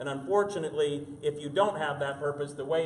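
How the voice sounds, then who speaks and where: Fairly high-pitched male voice in an American accent, with fairly even intonation, audible room echo and noticeable background noise. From Spokane, Washington. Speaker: mayor. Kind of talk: speech.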